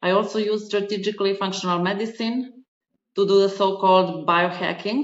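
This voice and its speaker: A woman at medium pitch with a non-native accent, a fairly quick pace and fairly even intonation. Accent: foreign. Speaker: podcast host and spiritual advisor. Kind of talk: podcast interview.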